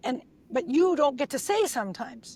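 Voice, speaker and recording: A woman speaks in an animated tone. Her delivery runs at a fairly quick pace. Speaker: NLP trainer and speaker coach. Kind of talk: podcast interview.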